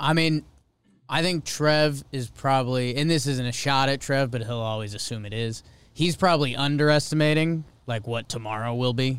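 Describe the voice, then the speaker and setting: With ordinary pitch variation and a fairly quick pace, an ordinary speaking voice carries the words. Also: man, medium pitch for a man. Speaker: podcast co-host. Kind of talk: casual chat.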